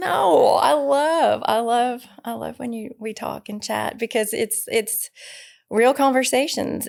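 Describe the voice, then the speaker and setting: In a Southern US accent, a woman with a fairly high pitch talks at a very slow pace on a very clean recording with a silent background. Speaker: podcast co-host. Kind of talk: casual chat.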